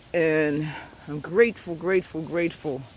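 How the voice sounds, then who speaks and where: A loud, high-pitched male voice at a fairly slow pace, with ordinary pitch variation. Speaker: spiritual vlogger. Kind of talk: motivational talk. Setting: outdoors. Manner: animated.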